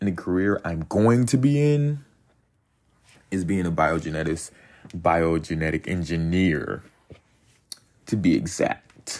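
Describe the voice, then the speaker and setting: With an American accent, a man speaks in a very deep, low voice, using an animated tone and lively intonation. His pace is fairly slow, broken by long, frequent pauses. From US, military bases (born North Carolina). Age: 20s. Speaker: podcast host. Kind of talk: casual monologue. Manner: animated, laughing.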